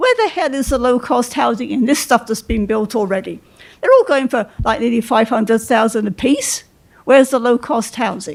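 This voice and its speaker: With a British accent, a woman speaks at a moderate pace in a high voice with ordinary pitch variation. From England. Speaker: resident speaking at public meeting. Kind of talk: public comment at meeting. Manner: brisk.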